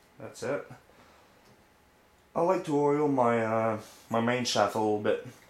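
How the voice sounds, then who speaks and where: A man with a medium-pitched voice speaks at a fairly slow pace, leaving long, frequent pauses, amid audible room echo. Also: ordinary pitch variation. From France or French-speaking region. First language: French. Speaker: RC hobbyist. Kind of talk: tutorial. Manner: casual, halting.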